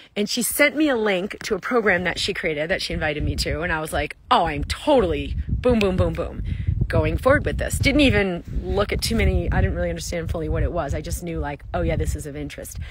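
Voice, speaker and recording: A woman talks at a very fast pace. The sound is dry with no echo, with noticeable background noise. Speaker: wellness coach. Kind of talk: casual vlog chat. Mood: enthusiastic, upbeat. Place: open country. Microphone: phone near.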